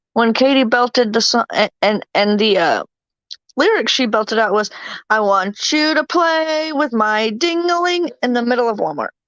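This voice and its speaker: A high-pitched woman with an American accent at a moderate pace, dry, close sound with no echo. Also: lively intonation, very even loudness. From Virginia, US South. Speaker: livestream host. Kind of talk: casual chat.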